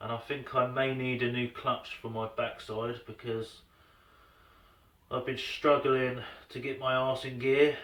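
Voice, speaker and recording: A man is shouting, loud, with a bright, sharp tone. His pitch is medium and his pace fairly slow. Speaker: DIY tool reviewer. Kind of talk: casual product review. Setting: workshop.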